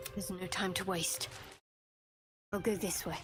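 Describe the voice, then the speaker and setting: Someone performs a put-on character voice at a middle pitch and moderate pace. Music plays in the background. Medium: video game.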